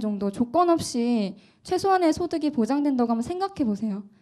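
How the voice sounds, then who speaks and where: A woman speaks at a moderate pace in a high pitch with a dark, mellow tone and very wide pitch swings. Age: 20s. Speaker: political candidate. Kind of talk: presentation pitch. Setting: cafe event with audience.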